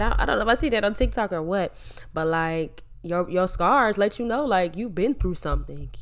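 The recording of this woman's voice is very clean, with a silent background. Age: 20s. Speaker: podcast host. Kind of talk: personal monologue. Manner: casual.

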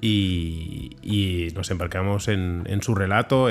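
His voice is fairly low in pitch. This man's pitch moves with ordinary variation. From Barcelona, Sants. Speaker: comic book artist. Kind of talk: interview. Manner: halting with frequent word repetitions.

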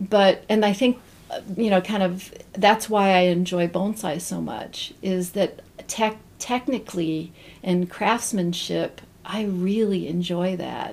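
A woman with a medium pitch talks in a Midwestern American accent. Her pace is very slow and her intonation fairly even. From Central Ohio (Zanesville). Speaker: bonsai potter. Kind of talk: casual interview.

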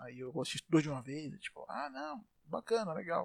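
A man speaks at a fairly slow pace with very wide pitch swings, in a very clean recording with a silent background and a dry, close sound with no echo. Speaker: solo podcaster. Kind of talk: casual monologue. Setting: home bedroom. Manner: put-on comedic voice; animated.

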